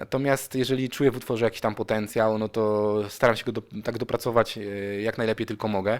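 A man rattles off his words at a very fast pace in a flat monotone. The recording is very clean, with a silent background. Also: medium pitch for a man. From Poland, Opoczno area. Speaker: rapper and singer. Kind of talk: radio interview.

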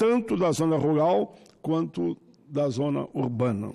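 A man at a very slow pace, against a quiet background. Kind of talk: formal floor speech. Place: hall. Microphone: podium.

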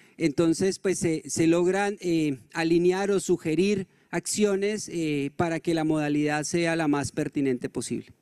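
This man's voice sits high in pitch, with fairly even intonation and a fairly slow pace. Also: quiet background. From Colombia. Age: 40s. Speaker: NGO director; speaker. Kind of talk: conference presentation. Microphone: handheld.

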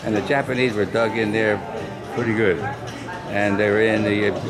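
Music plays clearly behind a man as he talks. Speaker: war veteran. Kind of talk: interview answer. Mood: reflective storytelling. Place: hall. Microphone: phone near.

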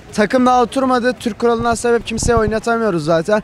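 A fairly quick pace with light background noise and a dry sound with no echo. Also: man. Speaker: football fan. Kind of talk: street interview. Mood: opinionated, animated about team. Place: street. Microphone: handheld.

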